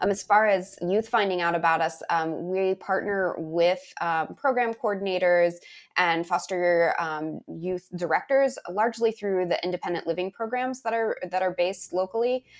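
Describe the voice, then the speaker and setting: Here is a plain, everyday voice with an American accent, heard on a very clean recording with a silent background. The pace is moderate. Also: woman, medium pitch for a woman, ordinary pitch variation. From rural US, on a reservation. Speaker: nonprofit executive director. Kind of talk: interview.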